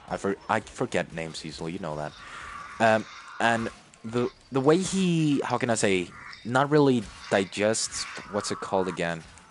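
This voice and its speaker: Amid noticeable background noise, a man of medium pitch talks at a moderate pace with long, frequent pauses and very wide pitch swings. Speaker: gamer streamer. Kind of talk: casual chat. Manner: halting, stuttering.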